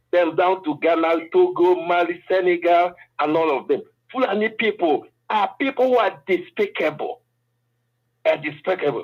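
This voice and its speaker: A man with a Nigerian accent, high-pitched, at a moderate pace with ordinary pitch variation. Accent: Nigerian Igbo English. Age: 60s. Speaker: political commentator. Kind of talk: panel discussion.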